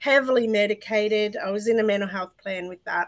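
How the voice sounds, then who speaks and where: With an Australian accent, a woman speaks at a fairly high pitch. The background is quiet. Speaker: mental health advocate. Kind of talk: interview testimony. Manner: talkative, tangential.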